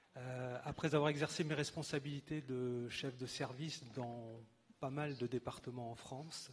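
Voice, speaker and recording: Somewhat breathy, a man speaks slightly slowly at a medium pitch with fairly even intonation. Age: 60s. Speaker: retired finance official, council candidate. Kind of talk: campaign speech.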